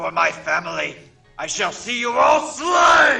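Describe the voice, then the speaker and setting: A man shouts in a put-on character voice at an extremely high pitch. Faint music plays in the background. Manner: vengeful, shouting, calling out a blood right.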